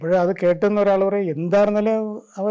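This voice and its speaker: Here a man speaks in a high pitch with a dark, mellow tone. His intonation stays fairly even. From Kerala, India. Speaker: amateur scientist, retired bus conductor. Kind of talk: documentary interview, personal storytelling. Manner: halting, with restarts.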